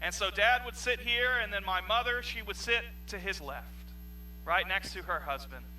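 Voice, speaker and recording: A man talks at a moderate pace. Noticeable background noise sits behind him. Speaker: pastor. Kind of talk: sermon. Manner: loud.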